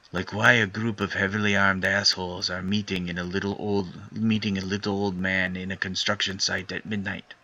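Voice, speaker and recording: Putting on a strained character voice, a man talks fairly quickly at a fairly low pitch with monotone, flat intonation. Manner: muttered, tense, hostile.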